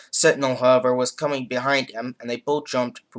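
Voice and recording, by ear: A passage is being read aloud. The voice doing it sounds natural.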